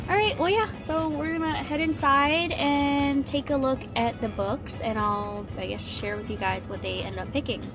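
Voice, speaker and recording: A woman talks at a moderate pace with hardly any pauses. Clear music plays in the background. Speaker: parent vlogger. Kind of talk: casual vlog chat. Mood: relaxed, cheerful. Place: car. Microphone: phone near.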